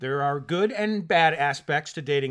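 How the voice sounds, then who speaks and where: Here is a man with a fairly high pitch. He has a plain, everyday voice. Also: very clean recording, silent background. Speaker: co-host, married couple's relationship podcast. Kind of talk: casual chat.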